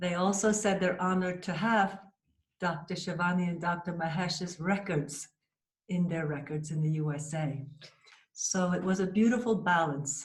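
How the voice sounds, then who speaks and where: Somewhat breathy, a woman with an American accent and a fairly low pitch speaks at a moderate pace with fairly even intonation, with audible room echo. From USA. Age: 60s. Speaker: cancer survivor, patient. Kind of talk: interview testimony.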